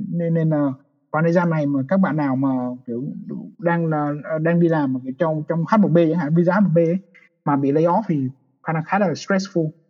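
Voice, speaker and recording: Fairly even intonation at a moderate pace, with long, frequent pauses. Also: man, fairly high pitch for a man. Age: 20s. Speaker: software engineer. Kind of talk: casual chat.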